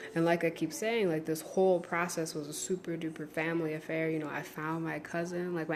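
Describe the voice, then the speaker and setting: A woman speaks at a fairly quick pace with a fairly low pitch. Her intonation is monotone and flat, and the room echo is audible. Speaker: online course creator and spiritual teacher. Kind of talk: live stream talk.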